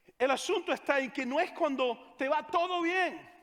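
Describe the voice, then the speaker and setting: A man with a Venezuelan accent. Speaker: pastor. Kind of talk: sermon.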